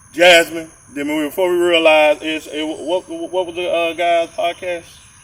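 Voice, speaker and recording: A man with a Georgia accent speaks at a high pitch and a moderate pace. His intonation is monotone and flat. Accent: southern US (Georgia) rural. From rural Georgia. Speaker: podcast co-host. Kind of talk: casual chat.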